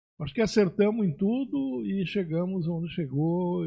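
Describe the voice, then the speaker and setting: A dark, mellow, somewhat breathy voice with lively intonation at a very slow pace. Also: man. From Rio Grande do Sul, Brazil. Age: 70s. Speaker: agronomist and pioneer settler. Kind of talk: podcast interview.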